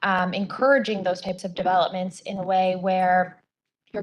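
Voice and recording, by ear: A woman speaks at a moderate pace with a fairly low pitch.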